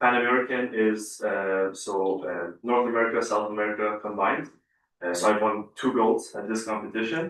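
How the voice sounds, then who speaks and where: A man talks at a moderate pace in a fairly low pitch, with ordinary pitch variation. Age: 20s. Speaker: Olympic weightlifter. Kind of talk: interview at council meeting. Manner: hesitant, many fillers.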